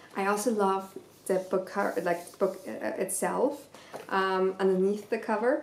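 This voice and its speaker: A woman at a fairly slow pace with fairly even intonation, light background noise, and audible room echo. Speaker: book vlogger. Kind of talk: casual chat. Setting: video to camera. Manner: casual, hesitant with fillers. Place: home room. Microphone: camera far.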